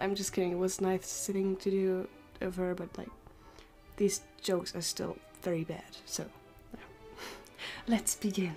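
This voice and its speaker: Faint music plays in the background while a woman speaks at a moderate pace. Her intonation is fairly even, with long, frequent pauses. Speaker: youtuber. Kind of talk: casual talk to camera. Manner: stuttering. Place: home room.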